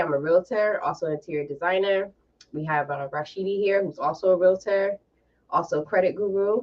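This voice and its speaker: This woman has a plain, everyday voice at medium pitch. She talks at a fairly quick pace with ordinary pitch variation. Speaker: podcast host and realtor. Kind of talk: casual panel discussion.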